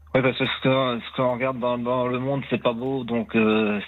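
At a moderate pace, the speaker uses a normal speaking voice with fairly even intonation. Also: man. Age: 60s. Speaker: caller. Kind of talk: testimony. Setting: phone call.

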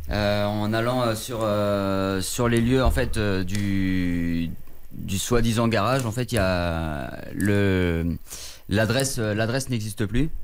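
A man speaks at a very slow pace. His fairly low pitch shows ordinary variation. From southwest France. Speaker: caller. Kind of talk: phone-in testimony. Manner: halting.

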